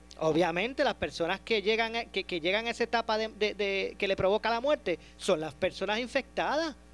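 A man with a high voice talks fairly quickly, with hardly any pauses and ordinary pitch variation. The sound is dry and close with no echo, and music plays in the background. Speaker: radio host. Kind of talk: radio talk show with callers.

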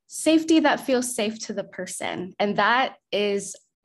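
Over a quiet background, a woman talks with a somewhat breathy voice and lively intonation. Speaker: therapist and organizer. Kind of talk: roundtable discussion. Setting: video call.

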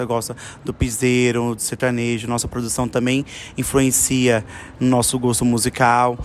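Here is a man with a normal speaking voice at medium pitch. He talks at a moderate pace. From São Paulo, West Zone. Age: 20s. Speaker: dancer. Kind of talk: interview.

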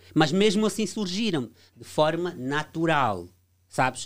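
At a fairly slow pace, a man with an Angolan accent speaks in a high voice. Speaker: debate guest. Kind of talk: heated debate. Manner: halting.

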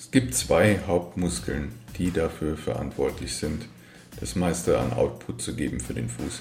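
In a room with audible echo, a man speaks fairly slowly at a very deep, low pitch, his voice swinging very widely in pitch. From Germany, Frankfurt am Main. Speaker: athletic trainer and podcast host. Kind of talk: solo educational monologue.

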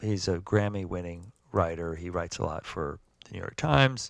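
With an American accent, a man speaks fairly slowly in a very deep, low pitch with lively intonation, in a very clean recording with a silent background. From US South, Georgia. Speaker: musician and writer. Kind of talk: interview. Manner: halting.

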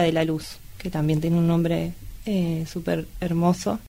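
The intonation is monotone and flat. A woman delivers it at a fairly low pitch. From Argentina, Luján (Buenos Aires province). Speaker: photographer and activist. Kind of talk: casual film discussion.

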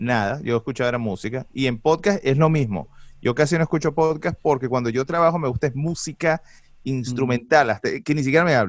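On a very clean recording with a silent background, a man talks at a fairly quick pace in a medium pitch with ordinary pitch variation and a plain, everyday voice. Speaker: commercial voice-over announcer and podcaster. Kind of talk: casual chat.

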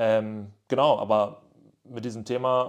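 Against a quiet background, a man with an unremarkable speaking voice talks at a fairly low pitch with fairly even intonation. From northwestern Germany, near Münster. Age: 20s. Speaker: podcast host. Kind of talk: casual solo monologue. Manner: casual with frequent fillers.

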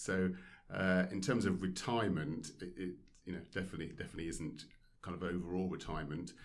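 At a moderate pace, a man speaks in a very deep, low pitch. Room echo is audible. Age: 40s. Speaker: former professional squash player. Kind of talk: casual interview. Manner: hesitant, many fillers.

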